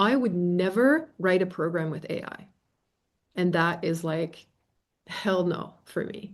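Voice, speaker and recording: A woman speaks with a fairly low pitch. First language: not English. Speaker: facilitator and trainer. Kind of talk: live Q&A. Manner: casual, animated.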